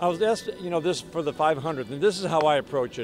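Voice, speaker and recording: Clear music plays behind a man speaking at a fairly quick pace. His intonation is lively, and the sound is dry with no echo. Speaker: baseball radio announcer. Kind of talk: sports radio interview answer. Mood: warm, enthusiastic, smiling. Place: stadium. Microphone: handheld.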